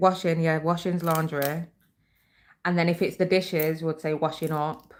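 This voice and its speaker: A woman speaks with a British accent at a fairly low pitch. Her intonation is monotone and flat. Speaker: YouTuber, craft vlogger. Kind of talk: slightly posh, polished telephone voice used for videos.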